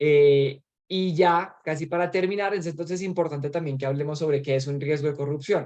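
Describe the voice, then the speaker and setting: This man's voice sits fairly high in pitch. His intonation stays fairly even. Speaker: trainer. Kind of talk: training presentation. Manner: fast.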